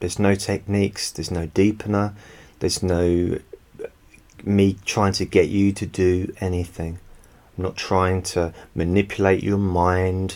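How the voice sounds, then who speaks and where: Very deep and low, a man's calm voice moves at a fairly slow pace in a monotone, flat intonation, broken by long, frequent pauses. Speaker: hypnotherapist. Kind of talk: hypnosis session. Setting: home recording.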